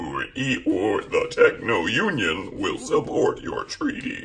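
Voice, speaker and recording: Strained and very slow, a man delivers his lines in a put-on character voice. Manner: strained, put-on voice.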